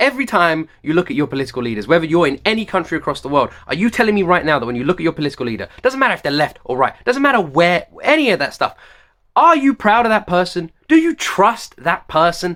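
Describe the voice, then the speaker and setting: A man with a British accent speaks at a very fast pace in a passionate, bright, sharp tone, high in pitch with very wide pitch swings. The recording is very clean with a silent background. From United Kingdom. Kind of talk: reaction video talk to camera. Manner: passionate, ranting.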